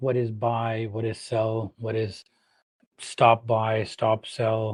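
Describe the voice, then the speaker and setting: A man's very slow speech in a Pakistani accent over a quiet background. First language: Urdu. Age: 40s. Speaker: trading educator. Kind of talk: live stream talk. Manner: halting.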